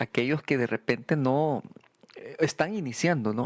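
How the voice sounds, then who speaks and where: A man speaks with ordinary pitch variation. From El Salvador. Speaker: podcast co-host. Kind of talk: casual chat. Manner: halting.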